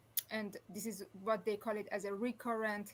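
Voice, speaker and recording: The speaker talks at a moderate pace with a Persian accent. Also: woman. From Iran. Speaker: former flight attendant, aviation professor. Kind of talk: interview. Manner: halting, with many restarts.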